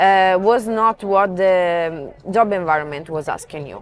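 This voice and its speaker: A woman speaks with an Italian accent and ordinary pitch variation. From Italy, near Venice. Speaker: marketing professional. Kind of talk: interview.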